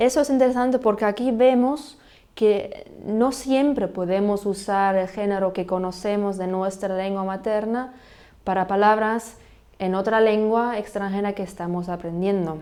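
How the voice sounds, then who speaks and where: With a German accent, the voice has a dark, mellow tone and ordinary pitch variation at a fairly slow pace. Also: woman, medium pitch for a woman. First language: German (speaking Spanish). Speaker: language podcast host. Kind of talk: educational podcast monologue. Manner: halting, with repetitions.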